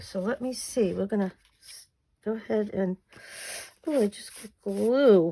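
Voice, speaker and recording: At a moderate pace, a woman with an American accent speaks with a fairly high pitch and ordinary pitch variation. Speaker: crafting YouTuber. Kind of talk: crafting tutorial. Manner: casual, chatty.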